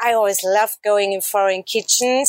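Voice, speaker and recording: The very clean recording, with a silent background, captures a woman with a German accent speaking at a moderate pace in a medium-pitched voice. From Austria, Salzburg. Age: 40s. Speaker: traveler. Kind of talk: interview.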